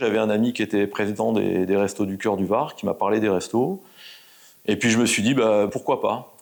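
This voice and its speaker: This man's pitch sits at a medium level and varies in an ordinary way. He keeps a moderate pace. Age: 60s. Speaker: volunteer mentor and sales manager. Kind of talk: interview testimony. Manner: hesitant, many fillers.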